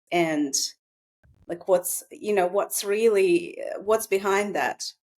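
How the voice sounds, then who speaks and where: Speaking at a fairly slow pace, a woman with a Russian accent uses lively intonation at a medium pitch. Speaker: psychotherapist. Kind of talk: casual chat.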